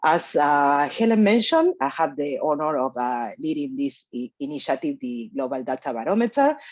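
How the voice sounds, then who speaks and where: Moderate pace in a Spanish accent, hardly any pauses, over a quiet background. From Argentina. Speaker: researcher leading a data initiative. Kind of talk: conference presentation. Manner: hesitant with fillers.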